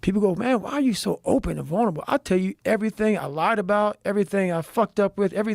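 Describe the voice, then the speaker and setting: Loud and animated, a man with an American accent talks very fast at a high pitch with ordinary pitch variation, the sound dry and close with no echo on a very clean recording with a silent background. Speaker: motivational speaker and endurance athlete. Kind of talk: casual chat.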